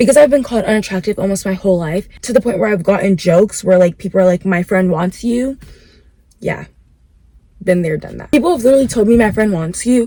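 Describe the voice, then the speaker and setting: Somewhat breathy with a dark, mellow tone, a woman of medium pitch speaks at a very fast pace with ordinary pitch variation. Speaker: vlogger. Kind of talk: casual chat. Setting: in a car. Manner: casual, filler-heavy.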